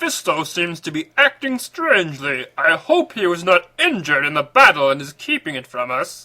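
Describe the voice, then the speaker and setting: A man's put-on character voice, high-pitched with very wide pitch swings, at a moderate pace with hardly any pauses. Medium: read story. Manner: earnest, heroic.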